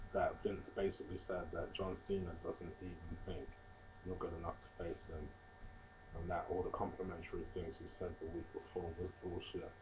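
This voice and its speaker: Noticeable background noise sits behind a man whose very deep, low voice moves at a fairly slow pace in a monotone, flat intonation. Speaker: wrestling reviewer. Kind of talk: casual video review. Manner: hesitant, many fillers.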